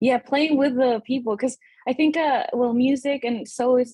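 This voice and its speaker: A woman with a Spanish accent, high-pitched yet dark and mellow in tone, ordinary pitch variation, moderate pace, dry, close sound with no echo. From Peru. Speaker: musician, saxophonist and guitarist. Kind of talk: casual interview.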